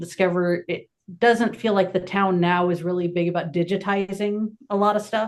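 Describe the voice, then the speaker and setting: A plain, everyday voice belongs to this woman, who speaks at a medium pitch with fairly even intonation. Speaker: paranormal investigator. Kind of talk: casual chat.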